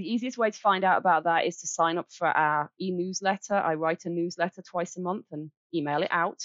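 Hardly pausing, a woman with an English accent speaks at a fairly quick pace in a fairly low pitch with fairly even intonation. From Birmingham, England. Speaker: charity director. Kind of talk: interview.

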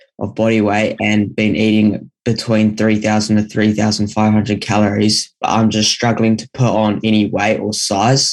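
A man speaks in a New Zealand accent at a fairly low pitch. His moderate pace has hardly any pauses, and his intonation is monotone and flat. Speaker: caller. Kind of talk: listener question. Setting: video call. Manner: halting.

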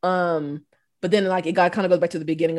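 A female speaker is heard here. Her speech carries a Southern US accent. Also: very clean recording, silent background. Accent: Southern US (Georgia). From US South, Southwest Georgia. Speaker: English professor. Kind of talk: casual chat. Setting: studio.

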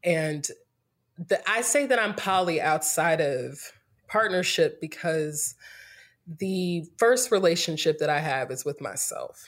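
Speaking at a very slow pace with lively intonation, this voice carries an American accent on a very clean recording with a silent background. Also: woman, fairly low pitch for a woman. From North Carolina, US South (Greensboro). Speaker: yoga teacher and entrepreneur. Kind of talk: casual interview.

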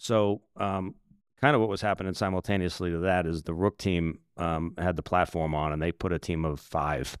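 Very deep and low in pitch, a man speaks with an American accent at a moderate pace, with ordinary pitch variation. The sound is dry and close with no echo, very clean, with a silent background. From Massachusetts. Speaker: sheriff's SWAT sergeant. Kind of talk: interview about a critical incident.

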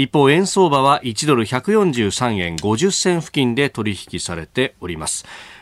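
In a very clean recording with a silent background, a man of medium pitch speaks at a fairly slow pace, the sound dry and close with no echo. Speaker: radio news show host. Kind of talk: live morning radio news talk.

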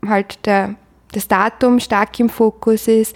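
The speaker is a woman with a fairly high pitch. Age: 20s. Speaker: career counselor. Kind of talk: interview.

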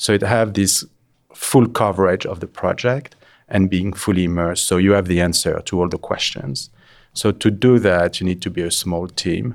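A man's very deep, low voice in a French accent, at a moderate pace with ordinary pitch variation, on a very clean recording with a silent background. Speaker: interior designer. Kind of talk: casual interview.

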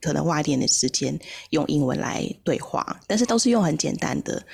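Woman with a very deep, low pitch, vocal fry and a Taiwanese accent, on a very clean recording with a silent background. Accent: Taiwanese Mandarin. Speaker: English-learning podcast host. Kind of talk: casual interview chat.

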